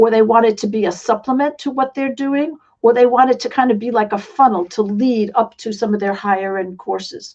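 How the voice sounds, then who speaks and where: Speaking fairly quickly with a slight New York accent, a woman talks at a fairly high pitch. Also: ordinary pitch variation. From New York City. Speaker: online business coach and author. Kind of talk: interview.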